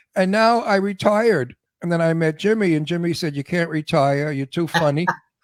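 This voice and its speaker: A man talks with a New York accent and a high pitch. His pace is moderate. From New York (Brooklyn). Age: 80s+. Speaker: actor. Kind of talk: casual chat. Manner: animated.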